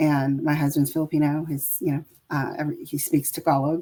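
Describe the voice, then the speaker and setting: Speaking at a moderate pace with a West Coast accent, a woman has a very deep, low pitch and a dark, mellow tone. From San Francisco Bay Area, US. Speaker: caregiver and healthcare worker. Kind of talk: interview. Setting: video call. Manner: many fillers and restarts.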